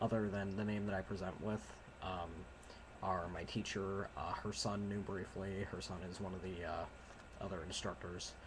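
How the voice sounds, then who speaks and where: Here a man with a very deep, low pitch speaks quietly at a moderate pace. His intonation is monotone and flat, and noticeable background noise is present. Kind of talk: casual talk to camera.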